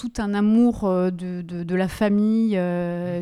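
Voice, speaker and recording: She speaks with fairly even intonation in a dark, mellow tone, the sound dry and close with no echo. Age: 40s. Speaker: business owner. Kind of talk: interview. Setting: company premises.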